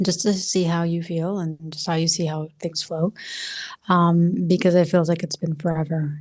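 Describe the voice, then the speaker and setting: A soft-spoken woman is whispering. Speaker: spiritual coach. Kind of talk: casual monologue vlog. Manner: soft-spoken, near whisper; halting, many fillers.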